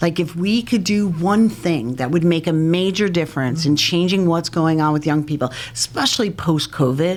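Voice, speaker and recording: A woman with a plain, everyday voice and an American accent, fairly low in pitch with ordinary pitch variation, at a moderate pace with hardly any pauses and very even loudness. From New York (Long Island, Hamptons). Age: 50s. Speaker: prevention and recovery educator. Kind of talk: podcast interview.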